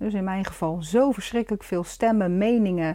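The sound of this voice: With a dark, mellow tone, a woman speaks at a moderate pace.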